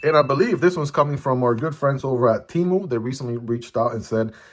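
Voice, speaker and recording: Noticeable background noise sits behind a man speaking at a fairly quick pace. His pitch is medium with ordinary pitch variation. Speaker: EDC gear reviewer. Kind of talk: product unboxing review. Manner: animated.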